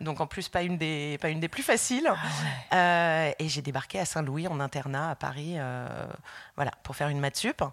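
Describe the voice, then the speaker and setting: A woman's very deep, low voice with vocal fry at a moderate pace, on a very clean recording with a silent background. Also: ordinary pitch variation. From France. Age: 40s. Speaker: illustrator. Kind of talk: interview. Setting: at home.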